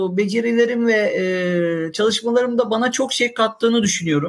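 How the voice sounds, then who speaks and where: A man speaks at a moderate pace with an extremely high pitch. His pitch varies in an ordinary way. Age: 40s. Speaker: IT department head. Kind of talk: casual chat.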